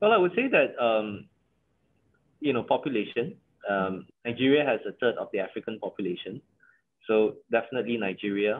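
Speaking at a fairly quick pace with a Malaysian accent, a man leaves long, frequent pauses. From Malaysia, Johor. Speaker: company CEO; guest. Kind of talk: interview. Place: home room. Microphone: video call.

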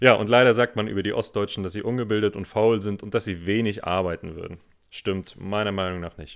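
Using an ordinary speaking voice, a man talks fairly quickly at a fairly low pitch, his intonation fairly even but his loudness swinging widely. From northeastern Germany, Rostock. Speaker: podcast co-host, German teacher. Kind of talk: casual conversation for German learners.

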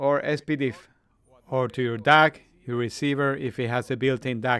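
A man speaks with a Spanish accent. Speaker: audio equipment video reviewer. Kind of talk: product review video.

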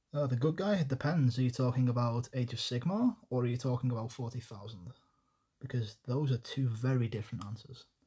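Against a quiet background, a man speaks at a medium pitch and a fairly quick pace, his voice somewhat breathy and his tone dark and mellow. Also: ordinary pitch variation. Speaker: miniature painting streamer. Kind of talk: live stream tutorial. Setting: home desk, livestream. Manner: casual, chatty.

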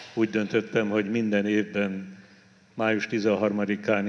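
A man talks at a fairly slow pace in a fairly low pitch, with monotone, flat intonation. Light background noise sits behind him. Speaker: bishop celebrating Mass. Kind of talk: liturgical greeting address. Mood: warm, solemn. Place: church. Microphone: handheld.

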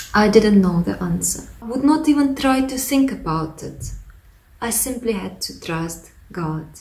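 A woman speaks with a Russian accent at a fairly slow pace. Her pitch swings very widely and her loudness swings a lot. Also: fairly high pitch for a woman. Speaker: pastor; former lecturer giving a testimony. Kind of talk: testimony. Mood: reflective, earnest.

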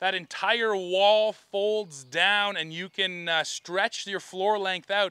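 Against a quiet background, a man in a raised, projected voice speaks at a fairly slow pace with a bright, sharp tone, the sound dry with no echo. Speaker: truck reviewer. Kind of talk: review commentary. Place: open country. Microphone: lapel.

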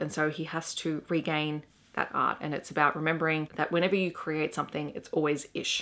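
A woman with an Australian accent speaks at a very deep, low pitch. Her intonation stays fairly even. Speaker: teacher and book reviewer. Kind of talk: book review vlog. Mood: warm, enthusiastic. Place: home room.

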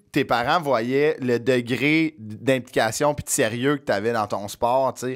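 A man with a Quebec accent talks at a fairly slow pace in a medium pitch, his intonation fairly even. The background is quiet. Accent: Québécois French. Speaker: podcast host. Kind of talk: casual chat. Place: studio. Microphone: studio mic.

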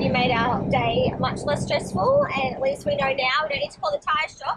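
Loud background noise fills the recording. A woman talks with ordinary pitch variation. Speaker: travel vlogger. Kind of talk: casual vlog chat. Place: car. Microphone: phone near.

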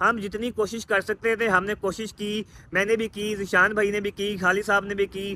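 The voice is raised and projected, with a bright, sharp tone. It moves at a moderate pace over light background noise. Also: man. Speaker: travel vlogger. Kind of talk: casual vlog chat. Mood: resigned but hopeful. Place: street. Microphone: phone near.

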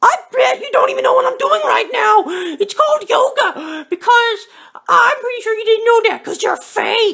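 At a moderate pace, a put-on character voice comes through at an extremely high pitch. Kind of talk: comic overacting. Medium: comedy sketch. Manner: loud, accusatory, taunting, excitable.

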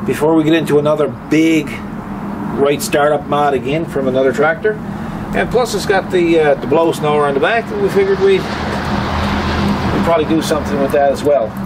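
Loud background noise sits behind a man speaking at a moderate pace with ordinary pitch variation. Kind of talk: casual vlog chat. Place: street. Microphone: camera far.

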